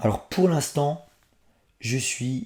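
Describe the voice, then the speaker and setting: A man's voice sounds somewhat breathy. The recording is very clean, with a silent background. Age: 30s. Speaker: comics reviewer YouTuber. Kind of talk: casual Q&A vlog.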